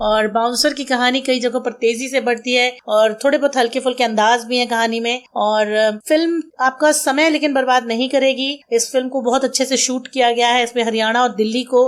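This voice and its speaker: The voice belongs to a woman. It is high in pitch. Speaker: radio jockey. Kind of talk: movie review podcast, radio-style.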